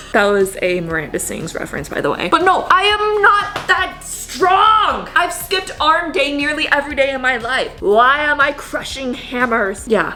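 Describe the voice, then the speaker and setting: A raised, projected voice with an animated tone, very wide pitch swings, a moderate pace and hardly any pauses, over noticeable background noise and audible room echo. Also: woman, high pitch for a woman. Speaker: vlogger. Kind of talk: casual vlog.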